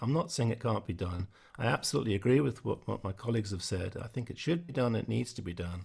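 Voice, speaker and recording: Speaking very fast, a man uses a medium pitch and lively intonation. His voice sounds somewhat breathy. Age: 60s. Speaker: musician. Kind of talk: online panel discussion.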